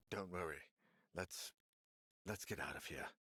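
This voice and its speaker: A man puts on a character voice, very deep and raspy. He speaks at a moderate pace, and the sound is dry and close with no echo. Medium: video game. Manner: brooding, fearful.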